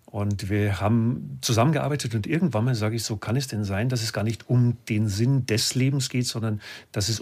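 A man with a medium pitch sounds somewhat breathy and uses ordinary pitch variation, recorded very cleanly over a silent background. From Lower Bavaria, Germany. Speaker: business coach and speaker. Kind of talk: casual interview chat. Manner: animated.

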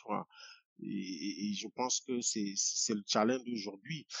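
A man's voice at a very slow pace. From Cameroon, village near Yaoundé. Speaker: poet and activist. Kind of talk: interview. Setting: video call.

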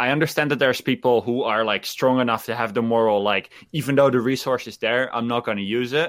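Very fast and with hardly any pauses, a man speaks with a slight Dutch accent at a medium pitch. His intonation is fairly even, and the recording is very clean with a silent background. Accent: light Dutch accent in English. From Netherlands. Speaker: gaming streamer. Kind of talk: casual chat. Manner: halting.

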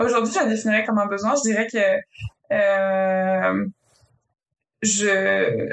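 One woman speaks at a very slow pace, leaving long, frequent pauses while her loudness stays very even. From France. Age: 20s. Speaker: project manager in construction. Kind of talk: casual interview chat.

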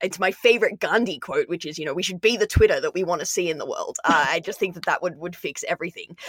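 This woman speaks with ordinary pitch variation. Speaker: podcast co-host. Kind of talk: interview questions.

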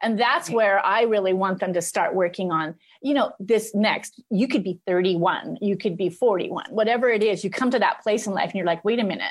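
A woman's normal speaking voice at a moderate pace, with ordinary pitch variation and hardly any pauses. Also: medium pitch for a woman. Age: 50s. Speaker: life coach. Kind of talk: casual chat.

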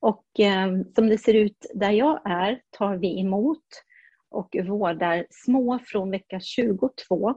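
A woman speaks at a very slow pace in a dark, mellow tone and medium pitch, somewhat breathy, with ordinary pitch variation and a dry, close sound with no echo. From Burundi (Swedish missionary family). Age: 60s. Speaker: neonatal nurse. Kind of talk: interview.

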